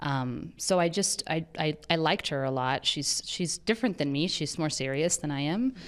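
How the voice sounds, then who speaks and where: Her voice is very deep and low for a woman, with ordinary pitch variation. The recording is very clean, the background silent. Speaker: actress. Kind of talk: interview. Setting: on set. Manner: halting, many fillers and restarts.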